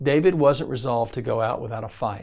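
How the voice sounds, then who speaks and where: Vocal fry marks a man's voice, which has ordinary pitch variation. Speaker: devotional teacher. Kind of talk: devotional teaching. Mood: calm, earnest. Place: studio.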